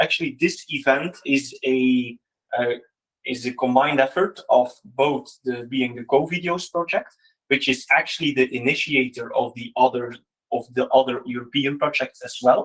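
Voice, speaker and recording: Speaking with a non-native accent, a man holds a medium pitch and fairly even intonation while his loudness swings widely. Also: moderate pace. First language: Dutch. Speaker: teacher, innovation project facilitator. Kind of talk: conference presentation. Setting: event with live audience. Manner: hesitant, many fillers.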